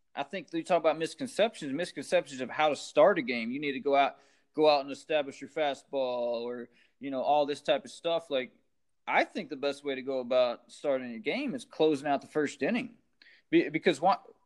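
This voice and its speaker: Over a quiet background, a man with an American accent and a normal speaking voice talks at a fairly quick pace and fairly high pitch, with ordinary pitch variation and big swings in loudness. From small-town Texas. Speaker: baseball coach, former pro pitcher. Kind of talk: casual interview.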